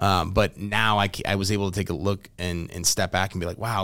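An unremarkable speaking voice from a man with an American accent, fairly low in pitch, fairly quick, with ordinary pitch variation, in a very clean recording with a silent background. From US Midwest (St. Louis, Missouri). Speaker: digital marketing business owner. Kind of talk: casual interview.

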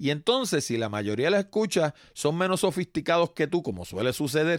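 Very wide pitch swings mark this man's fairly high voice as he talks at a moderate pace in a very clean, dry, close recording with a silent background and no echo. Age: 60s. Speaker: podcast host. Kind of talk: solo podcast monologue.

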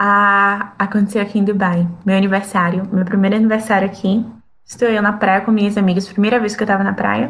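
At a fairly quick pace, a woman speaks at a medium pitch with a somewhat breathy voice. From Brazil. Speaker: flight attendant. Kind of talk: casual chat.

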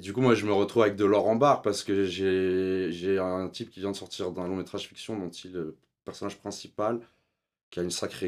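A man with a very deep, low pitch talks at a fairly quick pace with fairly even intonation and big swings in loudness. The recording is very clean, with a silent background. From Switzerland. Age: 30s. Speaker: documentary filmmaker. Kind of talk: casual interview.

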